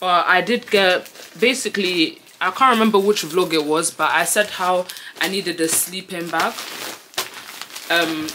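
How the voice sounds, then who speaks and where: Noticeable background noise sits behind a woman's fairly low pitch. Her pitch variation is ordinary. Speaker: university student vlogger. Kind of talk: casual vlog chat. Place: home room. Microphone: phone near.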